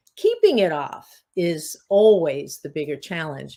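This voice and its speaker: In a very clean recording with a silent background, a woman speaks at a fairly low pitch. She has an ordinary speaking voice and keeps to a fairly slow pace. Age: 60s. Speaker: weight loss coach and hypnotist. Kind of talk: podcast interview.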